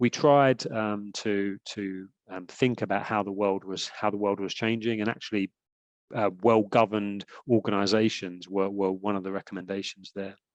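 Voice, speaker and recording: Speaking in a British accent at a moderate pace, a man delivers flat, monotone intonation at a fairly low pitch, with a dry, close sound, no echo and a quiet background. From UK. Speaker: sports governance expert, lawyer by training. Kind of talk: lecture. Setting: webinar video call. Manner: hesitant, many fillers and repetitions.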